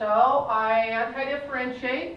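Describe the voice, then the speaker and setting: Noticeable background noise and audible room echo surround a woman whose intonation stays fairly even. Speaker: math teacher. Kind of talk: classroom lecture. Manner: fast; halting, self-correcting.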